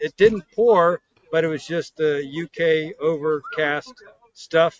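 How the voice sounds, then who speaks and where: An unremarkable speaking voice with an American accent moves at a fairly slow pace. The intonation is fairly even, and the sound is dry and close with no echo. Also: man. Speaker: classic car business owner. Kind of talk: casual chat.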